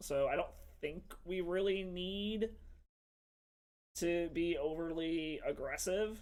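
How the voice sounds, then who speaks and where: Loud and high in pitch, a man's voice carries. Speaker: MTG streamer. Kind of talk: live game commentary. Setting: home stream.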